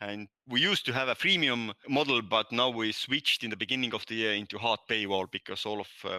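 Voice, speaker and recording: With a Nordic accent and a bright, sharp tone, a man talks at a fairly quick pace, medium pitch and fairly even intonation. The very clean recording has a silent background and a dry, close sound with no echo. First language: Estonian. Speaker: language app founder, ex-physicist. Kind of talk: podcast interview. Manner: halting.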